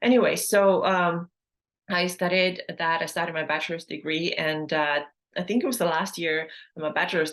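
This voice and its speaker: In an Estonian accent, a woman speaks at a fairly low pitch with fairly even intonation. The background is quiet. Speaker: health and fitness coach, podcast host. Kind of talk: personal story monologue. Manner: casual, with many fillers.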